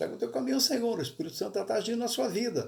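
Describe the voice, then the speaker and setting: The speaker is a man with a high pitch. His voice swings very widely in pitch. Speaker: pastor. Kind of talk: bible study sermon. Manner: halting, self-correcting.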